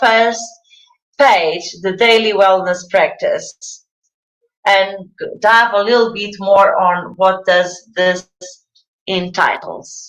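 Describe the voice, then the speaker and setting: A woman speaks at a very slow pace. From Portugal. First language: Portuguese. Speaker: wellness coach. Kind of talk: live presentation. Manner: halting.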